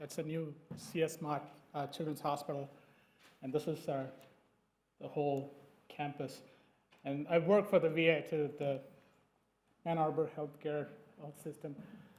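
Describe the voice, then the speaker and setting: A man's fairly high, monotone, flat voice with a non-native accent, at a moderate pace, with long, frequent pauses, big swings in loudness and audible room echo. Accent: non-native English, noticeable R's. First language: not English. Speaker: dermatologist presenting research. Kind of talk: conference presentation. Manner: hesitant, many fillers.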